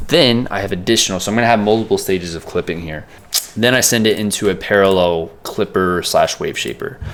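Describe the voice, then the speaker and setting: Over noticeable background noise, a man talks at a fairly quick pace with a fairly low pitch. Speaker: music producer. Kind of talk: tutorial. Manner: fast; casual, filler words.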